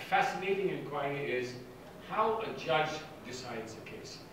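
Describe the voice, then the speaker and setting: A man speaks amid noticeable background noise. The room adds strong echo. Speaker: guest lecturer. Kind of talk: lecture. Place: hall.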